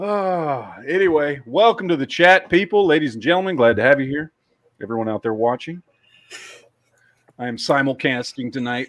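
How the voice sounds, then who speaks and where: Against a quiet background, a man with an American accent speaks at a moderate pace, his intonation lively, his loudness swinging widely, with long, frequent pauses. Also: fairly high pitch for a man. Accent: Texas accent, comes out at times. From Texas. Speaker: podcast host. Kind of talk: casual chat. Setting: livestream with co-hosts.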